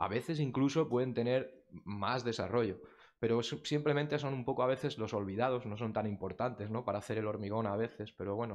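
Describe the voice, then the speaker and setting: Against a quiet background, a man speaks fairly quickly with a fairly low pitch and ordinary pitch variation. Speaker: technical committee member, industry speaker. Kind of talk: technical presentation. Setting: conference room with audience. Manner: fast.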